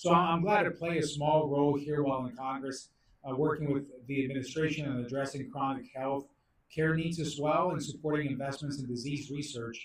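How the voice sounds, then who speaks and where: A man with a fairly high, somewhat breathy voice talks at a fairly quick pace with fairly even intonation. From Mexico, moved to US at eleven. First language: Spanish. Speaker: congressman. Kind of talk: prepared speech at policy briefing.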